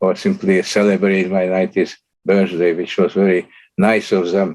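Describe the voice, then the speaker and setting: A man speaks at a moderate pace. He has a Slovak accent. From Slovakia. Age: 90s. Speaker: Holocaust survivor and artist. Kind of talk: lecture. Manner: halting.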